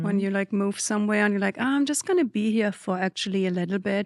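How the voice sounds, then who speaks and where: A woman speaks at a fairly quick pace in a medium pitch, an unremarkable speaking voice. The recording is very clean and dry, close with no echo, against a silent background. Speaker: podcast host. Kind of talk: casual podcast talk.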